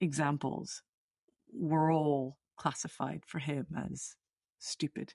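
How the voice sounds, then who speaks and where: This woman's voice has a very deep, low pitch. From Venezuela. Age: 40s. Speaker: executive coach. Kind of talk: interview conversation. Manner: repetitive, halting starts.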